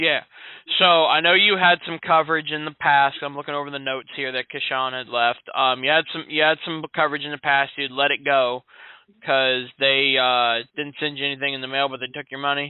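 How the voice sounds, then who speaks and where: Using a normal speaking voice with an American accent, a man talks at a fairly quick pace, fairly high in pitch for a man, with fairly even intonation. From Central Florida (Sanford). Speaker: insurance salesman. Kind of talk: sales call. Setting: phone call. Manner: casual, friendly.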